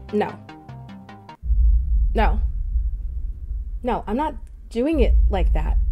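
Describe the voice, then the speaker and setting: A woman's very slow speech with long, frequent pauses and faint music in the background. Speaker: voice actor. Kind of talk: casual let's play commentary. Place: home room. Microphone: studio mic.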